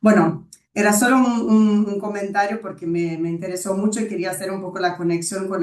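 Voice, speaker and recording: A woman speaks at medium pitch in a Brazilian accent. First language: Portuguese (speaking Spanish). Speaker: webinar moderator. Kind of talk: webinar discussion.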